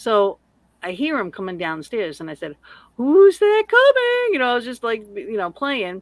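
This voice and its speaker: With a Massachusetts accent, a woman speaks at a fairly high pitch. Her voice moves in very wide pitch swings. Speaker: paranormal investigator, podcaster. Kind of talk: casual chat.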